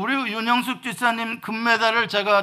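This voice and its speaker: A man with an extremely high pitch and a bright, sharp tone projects a raised voice at a moderate pace. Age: 50s. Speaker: pastor. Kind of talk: sermon.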